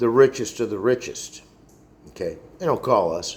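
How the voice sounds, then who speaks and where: A man at a moderate pace with very wide pitch swings. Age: 60s. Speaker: vlogger. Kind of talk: casual monologue rant. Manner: halting.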